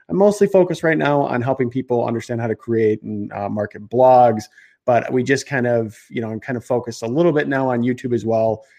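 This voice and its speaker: Against a quiet background, a man of medium pitch speaks very fast with lively intonation, a dark, mellow tone and a slight Chicago accent. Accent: slight Chicago Midwestern American. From Chicago, US Midwest. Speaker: marketing entrepreneur and online educator. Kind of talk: live-streamed interview chat. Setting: live video stream from a studio.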